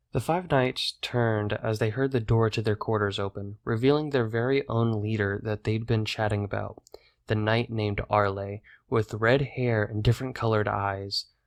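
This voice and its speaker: A man speaks in an ordinary speaking voice at a medium pitch and moderate pace, with fairly even intonation. The sound is dry and close with no echo, on a very clean recording with a silent background. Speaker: narrator. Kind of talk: audiobook narration.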